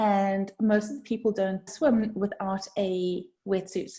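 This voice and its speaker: A woman's somewhat breathy, dark, mellow tone with fairly even intonation. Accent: South African. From South Africa. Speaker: brand designer. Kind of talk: podcast interview. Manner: conversational, some hesitations.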